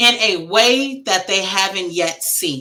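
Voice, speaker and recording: A loud woman's voice with an American accent, a bright, sharp tone, medium pitch and very wide pitch swings. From Wisconsin, US Midwest. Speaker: grief coach and author. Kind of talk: interview conversation. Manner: animated.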